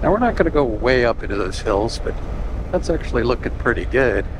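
A man talks at a moderate tempo in a dry sound with no echo, with noticeable noise behind him. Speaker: motorcycle rider vlogger. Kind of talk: casual ride commentary. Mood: relaxed, wry. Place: motorbike. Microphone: helmet.

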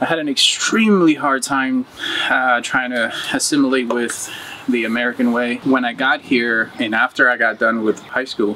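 A man speaks with a Spanish accent over light background noise. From Uruguay; moved to US at 14. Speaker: muralist. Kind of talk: interview testimony. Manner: casual. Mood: reflective, earnest. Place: garden.

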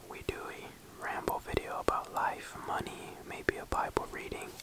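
At a fairly slow pace, a man whispers. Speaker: ASMR creator. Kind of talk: casual ASMR ramble to camera. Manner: whispered.

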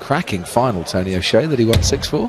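A man talks at a moderate pace in an animated tone, his pitch swinging very widely, with noticeable noise behind him. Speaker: darts commentator. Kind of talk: live sports commentary. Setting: commentary box at arena. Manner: animated, fluent, analytical.

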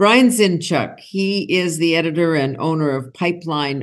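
In a quiet background, a woman talks at a moderate pace. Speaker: interview show host. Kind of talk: interview show introduction. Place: home room. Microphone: video call.

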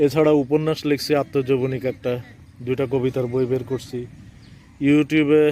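Its tone is dark and mellow, and the intonation stays monotone and flat. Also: man, medium pitch for a man. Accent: Chandpur. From Bangladesh, Chandpur. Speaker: poet and vlogger. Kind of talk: travel vlog monologue. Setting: outdoors by railway line. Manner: halting.

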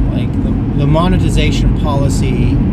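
The speech comes at a very slow pace against loud background noise, in a dry sound with no echo. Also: man. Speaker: vlogger driving home. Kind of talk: casual vlog chat. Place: car. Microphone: phone near.

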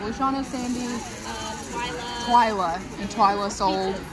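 Over crowd noise in the background, a woman with an American accent speaks at a moderate pace with ordinary pitch variation. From Kentucky. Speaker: doll collector vlogger. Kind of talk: casual vlog. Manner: animated. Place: hall. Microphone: phone near.

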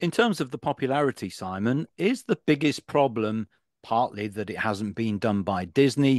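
A man talks at a moderate pace and medium pitch with lively intonation. The recording is very clean, with a silent background and a dry, close sound with no echo.

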